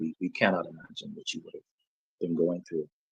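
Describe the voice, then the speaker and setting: A soft-spoken man talks here. The sound is dry and close, with no echo. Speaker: medical doctor. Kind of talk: medical explanation in interview. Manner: halting. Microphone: wearing a mic, too quiet.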